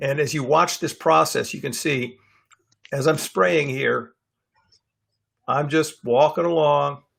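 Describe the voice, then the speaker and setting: A fairly high-pitched man's voice with vocal fry, ordinary pitch variation and long, frequent pauses. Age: 60s. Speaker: dog trainer. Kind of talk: lecture. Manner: casual, with filler words.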